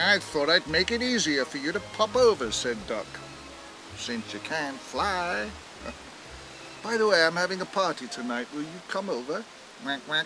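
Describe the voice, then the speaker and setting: Music plays in the background as a man talks at a moderate pace and a fairly high pitch, with very wide pitch swings and long, frequent pauses. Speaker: celebrity actor narrating an animated short. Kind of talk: storybook narration, children's story reading. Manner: warm, expressive.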